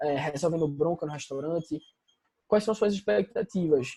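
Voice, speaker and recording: Moving at a moderate pace, a man speaks at a fairly high pitch with a dark, mellow tone. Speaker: business consultant. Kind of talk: online presentation with slides. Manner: casual.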